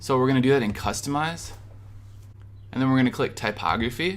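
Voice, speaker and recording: With an American accent, a man speaks in an upbeat tone against audible room echo. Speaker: web design tutorial creator. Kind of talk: screen-recorded tutorial. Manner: casual, upbeat.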